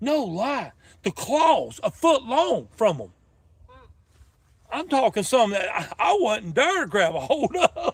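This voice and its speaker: With a North Carolina accent, a man speaks at an extremely high pitch in an animated tone, his pitch swinging very widely between long, frequent pauses. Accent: Southern US (North Carolina). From North Carolina (Denton). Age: 50s. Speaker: fishing livestreamer. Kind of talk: casual live-stream chat. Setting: outdoors.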